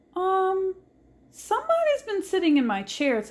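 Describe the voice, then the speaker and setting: A woman's put-on character voice, squeaky and extremely high-pitched, with very wide pitch swings at a moderate pace. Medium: read story.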